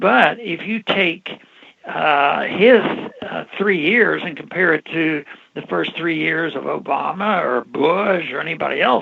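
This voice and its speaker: A man with fairly high pitch and lively intonation talks at a fairly slow pace, with noticeable background noise behind him. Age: 80s+. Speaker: former congressman. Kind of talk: interview answer.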